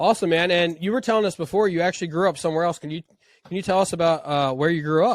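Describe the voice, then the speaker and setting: A man's high voice at a very fast pace, with ordinary pitch variation. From Pennsylvania. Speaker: podcast host. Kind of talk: podcast interview. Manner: casual.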